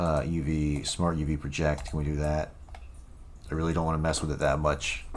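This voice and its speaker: In a room with audible echo and noticeable background noise, a man with a very deep, low pitch talks at a fairly quick pace in a flat monotone. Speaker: game developer streamer. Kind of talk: live coding stream. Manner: casual, hesitant with many fillers.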